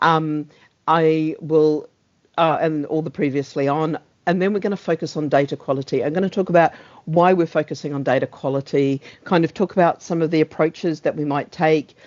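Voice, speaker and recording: Fairly quick speech with a New Zealand accent. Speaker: meeting host, service owner for transport data. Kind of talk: online meeting facilitation. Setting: video call. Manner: fast.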